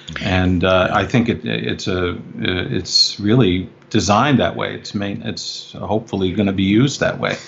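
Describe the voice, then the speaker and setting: With light background noise, a man in an unremarkable speaking voice talks at a moderate pace with hardly any pauses, fairly low pitch and ordinary pitch variation. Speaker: filmmaker. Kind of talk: interview. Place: home room. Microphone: video call.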